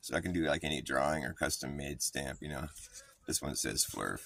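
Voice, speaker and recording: A man speaks at a moderate pace. Noticeable noise sits in the background. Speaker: livestreamer. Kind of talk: casual livestream chat. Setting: outdoors in the sun. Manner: casual, rambling with fillers.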